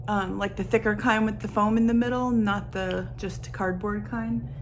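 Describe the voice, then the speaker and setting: A woman is speaking. Room echo is audible. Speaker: writer and vlogger. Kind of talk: casual vlog tutorial. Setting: home office in bedroom. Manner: casual, filler-heavy.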